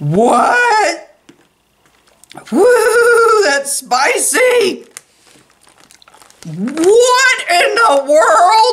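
With audible room echo, a woman uses a put-on character voice at an extremely high pitch with a fairly bright tone, big pitch swings, a very slow pace, and long, frequent pauses.

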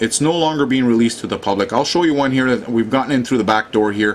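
Noticeable background noise sits behind this recording of a man. His pitch is medium, with ordinary variation. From Canada. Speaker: online commentator on Fukushima. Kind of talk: angry rant about information blocking and media. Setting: video narration over maps and screen. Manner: indignant, ranting, emphatic; casual, folksy, addresses viewers directly.

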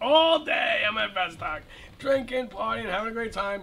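The man's tone comes across bright and sharp. He speaks at a fairly quick pace. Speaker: show host. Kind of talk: casual talk show anecdote. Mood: playful, joking. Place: studio.

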